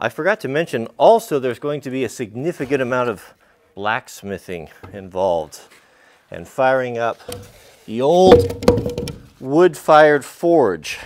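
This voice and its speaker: Loud background noise behind a man talking at a fairly slow pace. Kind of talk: casual vlog chat. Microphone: camera far.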